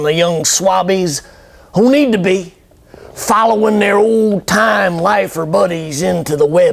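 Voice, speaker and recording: Over noticeable background noise, a man with a high pitch talks at a fairly slow pace, his intonation lively and his loudness very even. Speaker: slam poet. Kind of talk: poetry performance.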